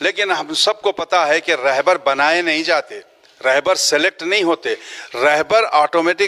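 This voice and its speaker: A man speaks in a fairly high voice. Noticeable background noise runs underneath. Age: 60s. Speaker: trust organiser and community worker. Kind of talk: media interview appeal. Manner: halting with filler phrases.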